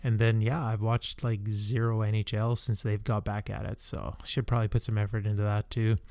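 Using an ordinary speaking voice, a man with a Canadian accent talks at a fairly quick pace with fairly even intonation and hardly any pauses. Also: fairly low pitch for a man. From Canada. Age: 40s. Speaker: podcaster. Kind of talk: casual solo monologue. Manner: relaxed, many filler ums.

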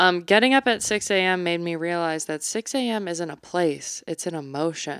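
A woman with a plain, everyday voice talks at a moderate pace, her fairly low pitch showing ordinary pitch variation. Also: very clean recording, silent background. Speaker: podcast co-host. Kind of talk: casual chat.

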